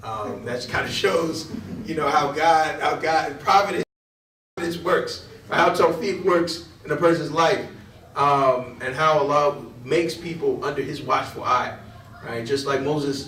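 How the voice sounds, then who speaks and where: A man with an American accent, fairly high pitch, fairly slow pace and ordinary pitch variation, amid audible room echo. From Connecticut, New Haven. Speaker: imam. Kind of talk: lecture. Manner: halting.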